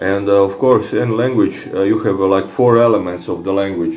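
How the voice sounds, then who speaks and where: Against noticeable background noise and audible room echo, a man speaks with a Croatian accent. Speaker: fitness vlogger. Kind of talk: casual monologue replying to comments. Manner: halting, many fillers and repetitions.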